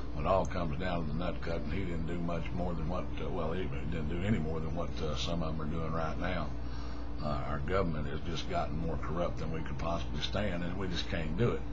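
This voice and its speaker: A man's very deep, low voice holds a very even loudness, with audible room echo and music in the background. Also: ordinary pitch variation. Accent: West Texas. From West Texas. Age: 60s. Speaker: retired oilfield worker. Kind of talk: political rant to camera. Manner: halting, many fillers and repetitions.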